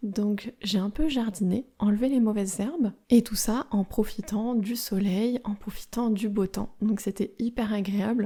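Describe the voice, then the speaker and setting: A woman's fairly high, somewhat breathy voice at a fairly slow pace. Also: fairly even intonation, hardly any pauses. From France. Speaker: French teacher podcaster. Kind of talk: language-learning podcast monologue. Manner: slow, clear.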